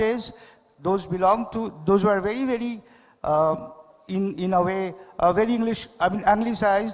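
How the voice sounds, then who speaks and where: A man with a Bengali accent speaks at a moderate pace. His voice is high-pitched, with ordinary pitch variation. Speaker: poet and painter. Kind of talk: literary festival dialogue. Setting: stage with audience. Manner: halting, with many fillers.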